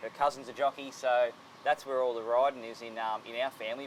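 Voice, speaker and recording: Noticeable background noise accompanies a man with an Australian accent. He speaks at a very fast pace in a monotone, flat intonation. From Australia, Sydney. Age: 30s. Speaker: jockey. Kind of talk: interview.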